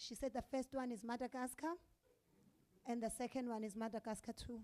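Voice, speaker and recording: This woman's voice sits high in pitch. Its tone is dark and mellow, and her intonation stays fairly even. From South Africa. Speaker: stand-up comedian. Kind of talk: live stand-up comedy set. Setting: comedy club stage.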